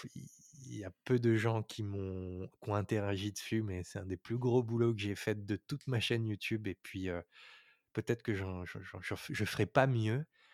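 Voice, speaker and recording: At a moderate pace and with fairly even intonation, the voice comes through dry and close with no echo, in a very clean recording with a silent background. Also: man, fairly low pitch for a man. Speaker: YouTube storyteller and composer. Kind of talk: interview. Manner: halting.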